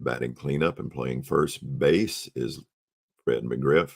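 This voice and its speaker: A man speaks at a moderate pace. His pitch is very deep and low, with vocal fry. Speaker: tabletop baseball replay narrator. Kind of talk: game replay commentary. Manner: hesitant, many fillers.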